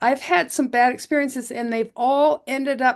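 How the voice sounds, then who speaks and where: Her intonation fairly even, a woman with an American accent speaks at a high pitch. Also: quiet background. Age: 70s. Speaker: doctor. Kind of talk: interview.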